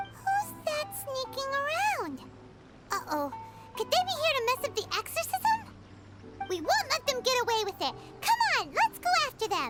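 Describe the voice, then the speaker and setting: Someone uses a put-on character voice at an extremely high pitch, leaving long, frequent pauses. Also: moderate pace. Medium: game stream. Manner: brisk, lively.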